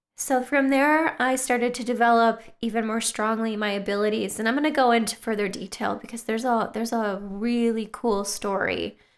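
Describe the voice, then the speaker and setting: In a very clean recording with a silent background, a woman with an American accent and an ordinary speaking voice talks at a moderate pace, her fairly high pitch held to fairly even intonation. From US Midwest, Wisconsin. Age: 30s. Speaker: podcast host, spiritual lifestyle blogger. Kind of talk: casual monologue. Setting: home, late at night.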